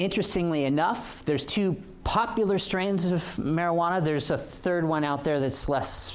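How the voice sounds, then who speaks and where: Lively intonation marks a man speaking with an American accent at a fairly quick pace. The room echo is audible. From Oregon. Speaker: police officer. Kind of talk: lecture. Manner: halting, many fillers.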